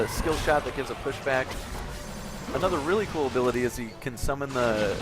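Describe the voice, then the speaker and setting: Music plays in the background as a man speaks at a very fast pace in an enthusiastic tone. His pitch is medium, with ordinary variation. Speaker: esports shoutcaster. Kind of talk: live game play-by-play commentary. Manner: casual, enthusiastic.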